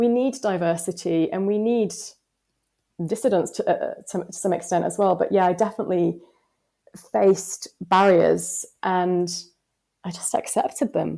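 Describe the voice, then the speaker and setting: A woman at a moderate pace in a Yorkshire accent, with long, frequent pauses. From West Yorkshire, northern England. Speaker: advertising strategist. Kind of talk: podcast interview.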